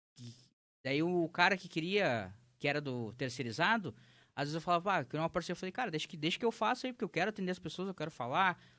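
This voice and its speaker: A man speaks very fast in a high pitch with a bright, sharp tone and lively intonation, on a very clean recording with a silent background. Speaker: entrepreneur, legal marketing business owner. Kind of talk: interview conversation. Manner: casual, animated storytelling.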